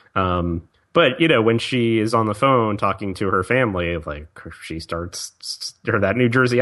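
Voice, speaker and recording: A man with a slight Southern accent, fairly low in pitch, bright and sharp in tone, with ordinary pitch variation over a quiet background. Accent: slight Southern, occasional y'all. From Virginia, US South. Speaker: podcast co-host. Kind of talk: casual chat.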